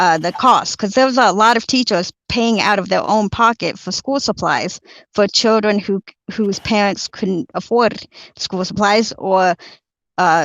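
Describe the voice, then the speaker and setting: At a fairly slow pace, a woman with an American accent talks at medium pitch with ordinary pitch variation. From Colombia, raised across the US. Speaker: political candidate. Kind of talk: interview Q&A. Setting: video call. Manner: halting, many fillers.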